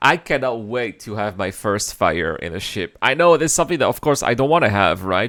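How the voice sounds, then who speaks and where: An animated man talking at a very fast pace with very wide pitch swings, on a very clean recording with a silent background. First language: French. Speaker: gaming reaction youtuber. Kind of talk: reaction commentary.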